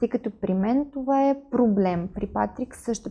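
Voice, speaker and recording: A woman talks at a moderate pace with a fairly high pitch and ordinary pitch variation. Her tone is dark and mellow, and somewhat breathy. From Ukraine, Kyiv. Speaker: influencer and entrepreneur. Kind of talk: interview.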